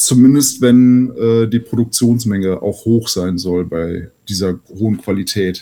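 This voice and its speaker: Medium in pitch with ordinary variation, a man speaks in a dark, mellow tone. His pace is very slow, yet he hardly pauses at all. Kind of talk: casual chat.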